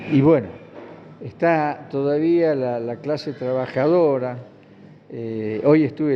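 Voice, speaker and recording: There is audible room echo as a man talks at a very slow pace. His pitch is medium and his intonation fairly even. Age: 80s+. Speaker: retired trade unionist. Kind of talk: interview. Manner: halting.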